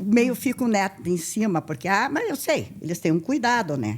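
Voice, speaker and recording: The woman's pitch swings very widely as she talks at a moderate pace. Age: 80s+. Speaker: retired teacher and charity volunteer. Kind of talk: interview. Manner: halting.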